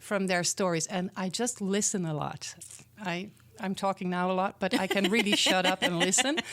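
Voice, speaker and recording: A woman's medium-pitched voice, with ordinary pitch variation, keeps a moderate pace. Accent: Dutch. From Netherlands. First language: Dutch. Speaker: community organizer, school program founder. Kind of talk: interview.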